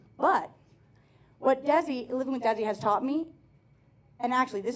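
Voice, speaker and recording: A woman's animated voice with an American accent, ordinary pitch variation and a fairly quick pace, over noticeable background noise. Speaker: stand-up comedian. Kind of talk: stand-up. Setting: stage with audience. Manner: fast.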